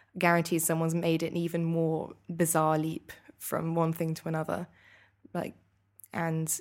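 A woman keeps a moderate pace, and her intonation stays fairly even. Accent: British. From UK. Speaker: master's student. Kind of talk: casual interview. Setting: hotel, live recording.

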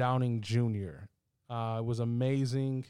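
Here a man with an unremarkable speaking voice talks at a moderate pace and fairly even intonation. The recording is very clean, its background silent. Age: 20s. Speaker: podcast host. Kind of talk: casual chat.

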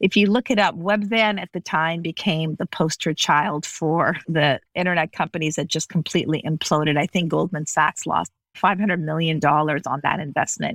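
An ordinary speaking voice, a woman's, with an American accent, fairly low pitch, ordinary pitch variation, a moderate pace and hardly any pauses, in a very clean recording with a silent background and a dry, close sound with no echo. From Las Vegas, US. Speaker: business executive and author. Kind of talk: interview.

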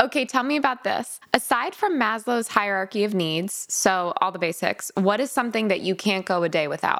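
An animated speaker with an American accent talks with lively intonation and hardly any pauses over noticeable background noise. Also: woman, fairly high pitch for a woman, moderate pace. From Connecticut. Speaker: podcast host. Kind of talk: casual chat.

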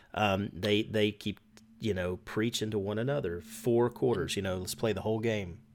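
At a moderate pace, an unremarkable speaking voice keeps a fairly even intonation. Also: man, fairly low pitch for a man. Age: 40s. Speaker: sports podcast host. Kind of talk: casual chat.

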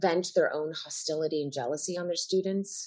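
Here a woman speaks at a medium pitch with an American accent. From Chicago area, Illinois. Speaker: stage and screen actress. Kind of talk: casual interview. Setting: video call.

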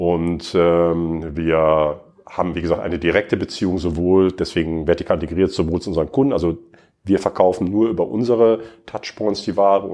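A man talks at a fairly quick pace in a very deep, low pitch. His tone is dark and mellow, with fairly even intonation. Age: 50s. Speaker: e-commerce executive. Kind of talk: interview. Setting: studio.

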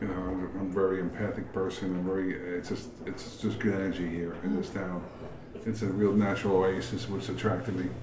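The speech comes at a fairly quick pace in a monotone, flat delivery. Audible room echo and noticeable background noise fill the recording. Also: man, very deep, low pitch for a man. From New York, Queens. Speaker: brewery owner. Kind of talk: casual chat.

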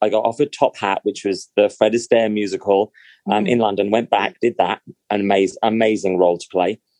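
A man with a British accent speaks at a very fast pace in a fairly low pitch, his tone dark and mellow. His intonation stays fairly even, and the sound is dry and close with no echo. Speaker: actor. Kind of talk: casual chat. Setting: video call.

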